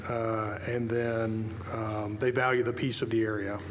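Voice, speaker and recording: A man's medium-pitched voice with audible room echo and noticeable background noise. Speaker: developer applicant. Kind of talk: public hearing testimony. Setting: public meeting. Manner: fast; halting.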